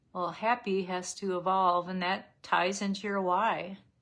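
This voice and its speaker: A plain, everyday voice from a woman, medium in pitch, fairly even in intonation, at a moderate pace. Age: 60s. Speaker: makeup seller and lifestyle vlogger. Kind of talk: live makeup tutorial with casual chat. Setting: livestream. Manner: casual, conversational.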